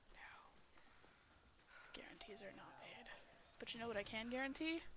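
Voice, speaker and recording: Whispering at a fairly slow pace, with big swings in loudness and audible room echo. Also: woman. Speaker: streamer. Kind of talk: casual chat. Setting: video call.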